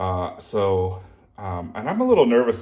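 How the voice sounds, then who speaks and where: Audible room echo surrounds a man with a fairly low pitch. His voice is somewhat breathy, and his intonation is fairly even. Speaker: beetle keeper. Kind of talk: casual vlog. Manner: halting.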